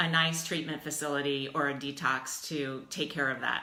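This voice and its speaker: Audible room echo surrounds a woman with an American accent talking at a fairly slow pace. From US Midwest, Dayton, Ohio. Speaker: life coach. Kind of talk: casual livestream talk. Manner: animated.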